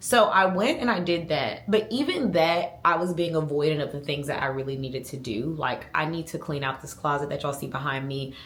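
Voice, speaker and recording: Over noticeable background noise and audible room echo, a woman with a very deep, low pitch talks at a fairly quick pace with ordinary pitch variation and hardly any pauses. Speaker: lifestyle vlogger. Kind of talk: casual vlog monologue. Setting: at home.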